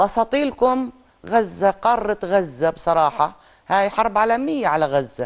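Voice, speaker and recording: Against a quiet background, a woman with a Palestinian accent talks at a very slow pace in a medium voice, her pitch swinging very widely while her loudness stays very even. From Gaza, Palestine (Khan Younis); Palestine. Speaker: activist and writer; guest. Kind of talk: interview. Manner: animated. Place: studio.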